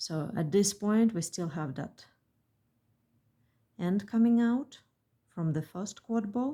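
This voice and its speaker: A woman with a medium-pitched, somewhat breathy voice and a dark, mellow tone speaks very slowly with lively intonation and long, frequent pauses. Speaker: beadwork designer and tutorial maker. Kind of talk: tutorial.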